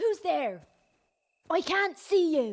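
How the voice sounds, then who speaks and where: Pitched extremely high, a woman performs a put-on character voice with very wide pitch swings. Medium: video game.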